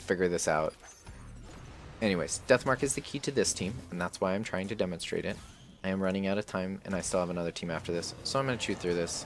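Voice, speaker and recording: A man talks at a very fast pace with a very deep, low pitch. His pitch varies in an ordinary way, and music plays in the background. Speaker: gaming streamer. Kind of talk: live gameplay commentary. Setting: live stream.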